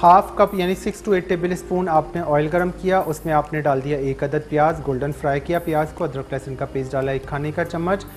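The speech moves at a moderate pace with hardly any pauses and fairly even intonation. Light background noise sits underneath. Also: man. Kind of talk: tutorial. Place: studio. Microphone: lapel.

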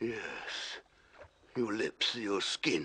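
A man performs a put-on character voice. It sounds raspy and sits at medium pitch. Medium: audio drama.

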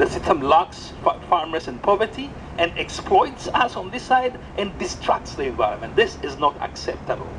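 Noticeable background noise surrounds a man speaking with an Ethiopian accent. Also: moderate pace. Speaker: coffee entrepreneur and community organizer. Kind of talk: impassioned outdoor rally speech denouncing exploitation of coffee farmers. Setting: outdoors at a rally with crowd. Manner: fervent, moralizing, building to indignant repetition; halting, with frequent restarts and repeated words. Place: street. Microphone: pa.

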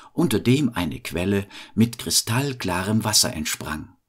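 Speaking at a fairly slow pace, a man uses a medium pitch, a somewhat breathy, calm and soothing tone, and lively intonation. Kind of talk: bedtime story telling. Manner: slow, calm, soothing storyteller pace; gentle, warm, fairy-tale narration.

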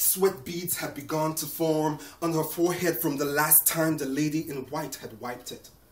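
In a room with audible echo, a man speaks at a moderate pace and fairly high pitch, his solemn tone and fairly even intonation running with hardly any pauses. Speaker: poet. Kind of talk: performed poem. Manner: solemn, measured, emotive. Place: home room. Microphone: camera far.

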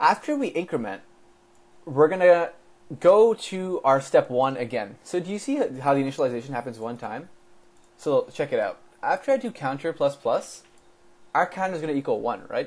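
A man talks at a moderate pace in a high voice, his pitch swinging very widely. Long, frequent pauses break up his speech. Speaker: coding tutor. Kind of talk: tutorial.

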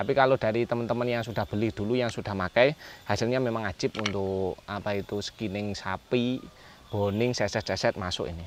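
On a dry recording with no echo and light background noise, a man talks at a fairly quick pace with a fairly low pitch and ordinary pitch variation. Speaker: knife sharpener and seller. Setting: video recording of knife showcase. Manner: brisk, upbeat, salesmanlike, pushing bargain prices; casual, repeats phrases, trails off with filler and 'ya' tags. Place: garden.

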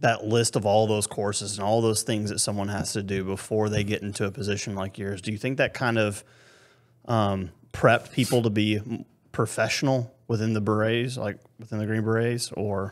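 A man's fairly low, normal speaking voice, a normal speaking voice with fairly even intonation at a moderate pace, in a quiet background. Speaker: podcast host. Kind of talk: casual interview chat. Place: home room. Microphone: studio mic.

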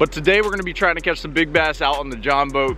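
A man talks with no echo at all, the recording dry, while faint music sits behind him. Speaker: fishing vlogger. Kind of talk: casual vlog chat. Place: waterside. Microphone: phone near.

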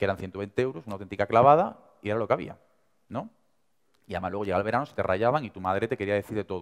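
Against a quiet background, a man in an Andalusian accent talks very fast at a fairly low pitch. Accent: Andalusian (Seville). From Seville, Andalusia. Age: 20s. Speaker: young entrepreneur and speaker; speaker. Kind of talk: motivational talk. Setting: stage with audience. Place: hall.

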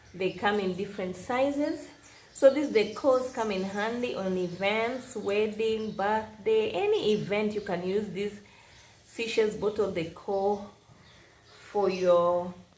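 A woman talks at a fairly slow pace with audible room echo and light background noise. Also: ordinary pitch variation. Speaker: craft seller showing products. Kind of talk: product showcase narration. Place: home room. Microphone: phone near.

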